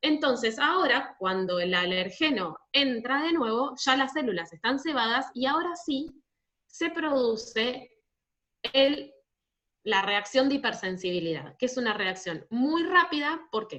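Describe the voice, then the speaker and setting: The tone is bright and sharp, with very wide pitch swings. The pace is fairly slow. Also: woman, high pitch for a woman. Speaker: university physiopathology teacher. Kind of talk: online class Q&A lecture. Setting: online video class.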